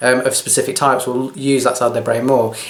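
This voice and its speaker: Over noticeable background noise, a man speaks at a medium pitch in a monotone, flat way. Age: 40s. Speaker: video blogger, training consultant and health coach. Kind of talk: personal talk to camera. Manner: hesitant, with fillers.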